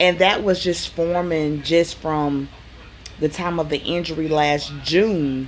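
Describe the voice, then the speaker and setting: The speaker has a Southern US accent. Noticeable background noise runs under the voice. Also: woman. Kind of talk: casual talk to camera.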